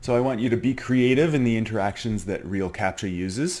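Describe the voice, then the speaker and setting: With an ordinary speaking voice, a man talks at a fairly quick pace with lively intonation. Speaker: teacher. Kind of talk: tutorial. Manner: casual, filler-heavy.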